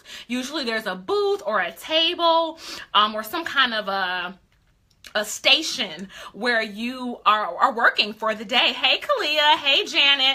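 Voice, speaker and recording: Her high voice is animated, rising and falling in very wide pitch swings. The woman speaks at a fairly slow pace. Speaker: beauty influencer coach. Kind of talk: live stream coaching talk. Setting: live stream.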